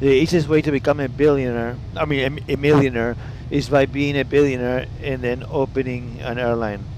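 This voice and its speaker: Over noticeable background noise, a man speaks at medium pitch and a moderate pace. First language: Italian. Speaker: flight sim streamer. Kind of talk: casual live stream chat. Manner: animated.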